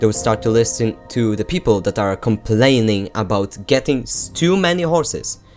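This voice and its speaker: The voice moves at a moderate pace with music in the background. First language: not English. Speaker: gaming YouTuber. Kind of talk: opinion rant to camera.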